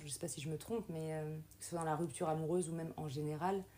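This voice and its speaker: A woman's very deep, low voice, dark and mellow in tone, with fairly even intonation and a very fast pace. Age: 30s. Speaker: podcast host, teacher. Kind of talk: casual interview chat.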